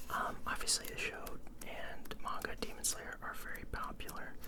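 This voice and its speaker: A person whispers. Background noise is clearly audible beneath it. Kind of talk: ASMR. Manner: whispered.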